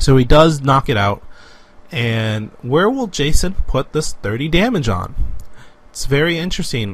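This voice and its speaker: Using an unremarkable speaking voice, a man talks fairly slowly at a fairly high pitch. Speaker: Pokemon trading card game commentator applicant. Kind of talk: live esports-style game commentary.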